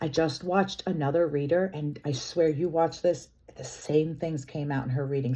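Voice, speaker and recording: A woman speaks with a very deep, low pitch. Her tone is dark and mellow. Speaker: tarot reader. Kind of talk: tarot reading. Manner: loud, passionate; animated.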